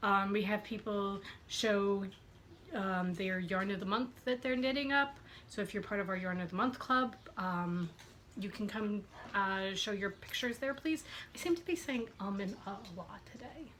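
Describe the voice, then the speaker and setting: Medium-pitched woman with an ordinary speaking voice, moderate pace and ordinary pitch variation. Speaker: podcast host. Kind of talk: casual chat.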